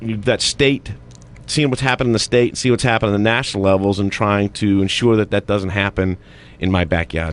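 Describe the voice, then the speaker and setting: An ordinary speaking voice from a man, fairly low in pitch, with ordinary pitch variation and very even loudness. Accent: American. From Massachusetts (Haverhill, near Boston). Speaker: retired navy captain and political candidate. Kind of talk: radio interview.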